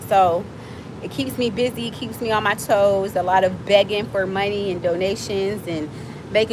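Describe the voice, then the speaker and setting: Over noticeable background noise, a woman with an American accent speaks fairly slowly at medium pitch. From Miami, Florida. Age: 40s. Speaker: livestreamer and nonprofit founder. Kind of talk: casual livestream chat. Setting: outdoors. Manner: animated.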